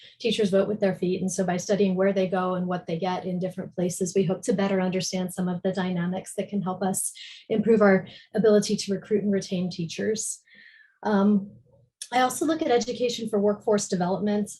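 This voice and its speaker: With an American accent, a woman speaks at a fairly quick pace in a dark, mellow tone that is somewhat breathy. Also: medium pitch for a woman. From US East Coast. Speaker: education policy researcher. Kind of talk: panel presentation.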